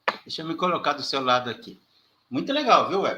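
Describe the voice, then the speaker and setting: Raised and projected, this man's voice has a bright, sharp tone. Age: 60s. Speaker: online channel host. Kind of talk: interview. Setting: live stream.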